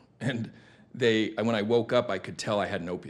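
A man with an American accent speaks in a plain, everyday voice. His pitch sits fairly low. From Arizona, Tucson. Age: 40s. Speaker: recovering addict, former car sales manager. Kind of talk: interview.

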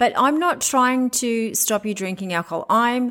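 The recording is very clean, with a silent background. A woman with an Australian accent speaks at a moderate pace. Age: 40s. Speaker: commercial real estate agent and podcast host. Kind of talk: solo podcast monologue.

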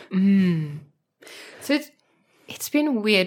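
A woman speaks very slowly in a South African accent, at a medium pitch. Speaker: art journaling community leader. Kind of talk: casual chat. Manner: animated.

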